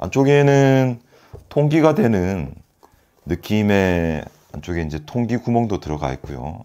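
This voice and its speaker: A man talks at a very slow pace with long, frequent pauses, his pitch fairly low. His dark, mellow tone moves through very wide pitch swings. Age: 40s. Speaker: product reviewer. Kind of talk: product review. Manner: halting, with fillers and repeats. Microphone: phone near.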